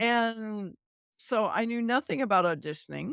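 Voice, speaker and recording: At a fairly slow pace, a woman speaks with lively intonation, the sound dry and close with no echo on a very clean recording with a silent background. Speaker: voice actor, narrator, actor. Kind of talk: podcast interview answer.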